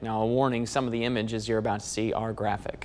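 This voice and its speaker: Over noticeable background noise, a man talks very fast at a medium pitch in a monotone, flat intonation. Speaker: TV news reporter. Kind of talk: TV news report.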